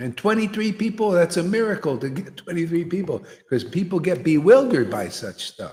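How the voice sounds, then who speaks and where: A man with a high pitch speaks fairly quickly, his intonation lively and his loudness swinging widely. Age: 60s. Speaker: guru / spiritual teacher. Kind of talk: spiritual discourse. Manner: animated; casual, conversational.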